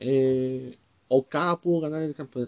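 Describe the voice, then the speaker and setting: In a Mexican accent, a man with a dark, mellow tone and a fairly high pitch speaks with fairly even intonation, the sound dry and close with no echo. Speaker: wrestling podcaster. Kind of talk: solo commentary podcast. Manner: halting, many filler words.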